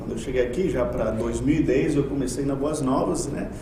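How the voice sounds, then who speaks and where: Male speech with ordinary pitch movement, audible room echo and noticeable background noise. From Colombia. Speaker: university lecturer. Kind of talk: podcast interview.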